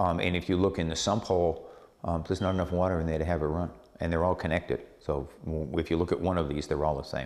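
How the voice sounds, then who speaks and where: A man with a very deep, low voice talks very fast with fairly even intonation. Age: 60s. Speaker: property developer. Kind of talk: interview. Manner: halting, many fillers.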